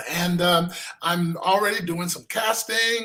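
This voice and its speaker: In an American accent, a man speaks at a moderate pace with a raised, projected voice. His tone is bright and sharp, and his pitch varies in an ordinary way. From US West Coast, Los Angeles. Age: 60s. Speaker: filmmaker and pastor. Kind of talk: interview.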